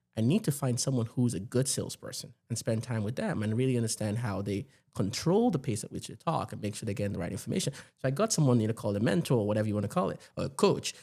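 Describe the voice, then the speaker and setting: Talking at a very fast pace, a man with a medium pitch and a dark, mellow tone shows ordinary pitch variation. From Nigeria. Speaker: tech executive. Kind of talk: podcast interview.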